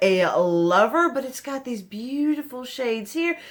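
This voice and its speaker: Against noticeable background noise, a woman speaks fairly slowly in a high voice with lively intonation. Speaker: beauty vlogger. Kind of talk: casual chat. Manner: chatty, rambling conversational pace.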